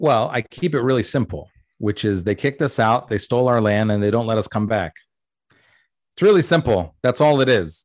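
With a plain, everyday voice, a man speaks with ordinary pitch variation against a quiet background, the sound dry and close with no echo. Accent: American. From US. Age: 40s. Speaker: comedian. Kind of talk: interview conversation.

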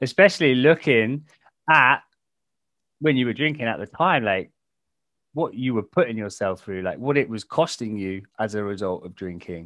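Speaking at a moderate pace with an English accent, the voice takes long, frequent pauses and swings widely in loudness. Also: man, medium pitch for a man. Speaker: podcast host, sobriety coach. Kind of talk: podcast interview.

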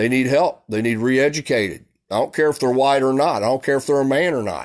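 Recorded very cleanly with a silent background, a man talks at a fairly quick pace and a medium pitch. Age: 40s. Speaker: podcast host. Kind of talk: monologue. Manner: animated.

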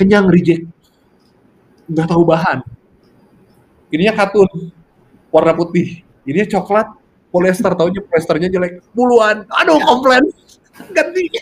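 A man speaks with a high pitch and ordinary pitch variation at a moderate pace. His delivery has long, frequent pauses. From Indonesia, Bandung/Cimahi (West Java). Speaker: fashion entrepreneur. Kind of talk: casual interview.

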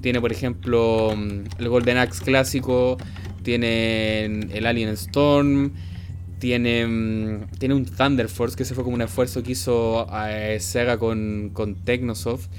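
Speaking at a very slow pace, a man with a medium pitch comes through with audible room echo and noticeable background noise. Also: ordinary pitch variation. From Chile, Santiago. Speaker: podcast host. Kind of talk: casual chat. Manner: halting, many fillers and repetitions.

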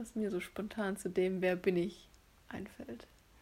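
A woman's dark, mellow, somewhat breathy voice at a fairly slow pace, with fairly even intonation. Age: 20s. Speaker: podcast co-host, former law student. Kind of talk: casual chat.

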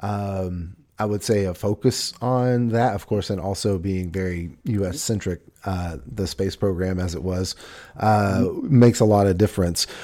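A man's fairly low, dark, mellow voice in an American accent with ordinary pitch variation, on a very clean recording with a silent background. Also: fairly slow pace. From US South. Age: 40s. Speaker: podcast host. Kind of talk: casual chat. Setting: studio.

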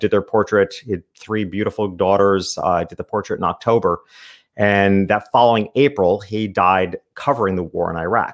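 A man speaks with an American accent in a plain, everyday voice, fairly low in pitch. His pace is moderate, his intonation fairly even, and the background quiet. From upstate New York. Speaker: small business consultant and portrait photographer. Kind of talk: podcast interview.

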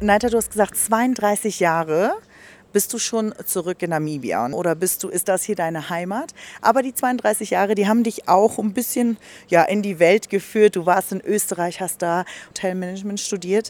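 A woman with a plain, everyday voice speaks at a moderate pace, her medium pitch showing ordinary variation. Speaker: radio podcast host. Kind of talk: casual interview. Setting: restaurant garden.

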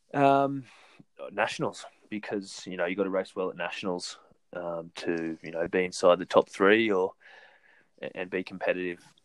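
A man's very deep, low voice with an Australian accent, at a moderate pace with long, frequent pauses and big swings in loudness. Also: ordinary pitch variation. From New South Wales, Australia. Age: 30s. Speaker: professional runner. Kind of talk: casual interview.

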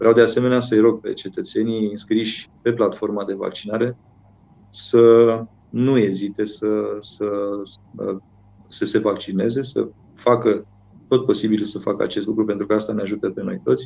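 The intonation is fairly even and the pace moderate. Long, frequent pauses break up the speech. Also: man, fairly low pitch for a man. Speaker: mayor. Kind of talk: interview.

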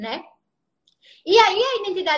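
A woman projects her raised voice at an extremely high pitch, her tone bright and sharp and her intonation lively. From Brazil, Recife (Pernambuco). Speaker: feminist sociologist and philosophy teacher, social media host. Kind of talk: Instagram live discussion, explanatory.

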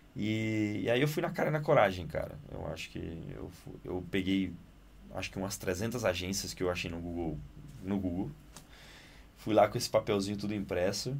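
A man with a very deep, low pitch and lively intonation, at a moderate pace with long, frequent pauses. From Italy, Naples. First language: Italian (speaking Portuguese). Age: 20s. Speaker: actor and director. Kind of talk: casual interview. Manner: animated.

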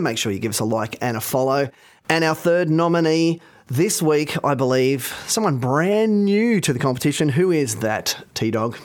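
This man speaks with an Australian accent, his fairly high pitch making very wide swings. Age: 40s. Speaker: podcast host. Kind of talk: casual chat.

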